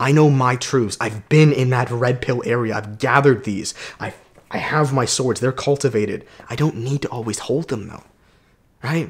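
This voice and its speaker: A man with a medium pitch speaks at a moderate pace, somewhat breathy and with fairly even intonation. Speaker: self-improvement coach and YouTuber. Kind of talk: motivational vlog monologue.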